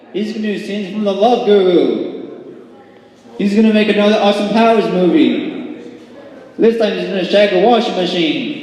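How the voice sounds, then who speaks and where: A man speaks at a high pitch and a moderate pace with lively intonation. Noticeable background noise sits behind him. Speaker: stand-up comedian. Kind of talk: stand-up. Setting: small venue with a tiny audience.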